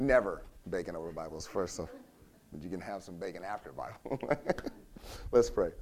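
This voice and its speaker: A man talks at a fairly quick pace with long, frequent pauses and big swings in loudness, and the room echo is audible. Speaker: pastor. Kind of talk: sermon.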